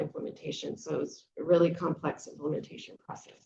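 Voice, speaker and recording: A woman talks at a moderate pace. Her voice is fairly low and somewhat breathy. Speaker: conference presenter, restoration scientist. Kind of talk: conference talk. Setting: conference session. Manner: many filler words.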